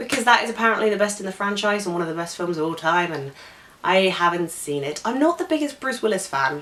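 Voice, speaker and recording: Very fast speech with very wide pitch swings over noticeable background noise. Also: woman, medium pitch for a woman. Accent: British. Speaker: film vlogger. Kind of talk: casual vlog monologue.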